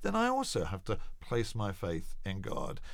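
A man with an English accent speaks with very wide pitch swings on a very clean recording with a silent background. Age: 50s. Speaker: evangelist and charity founder. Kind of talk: interview.

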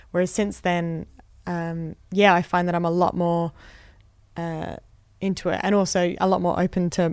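A woman speaks with an Australian accent at a moderate pace. The recording is very clean, with a silent background. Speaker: comedian. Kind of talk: interview. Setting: studio.

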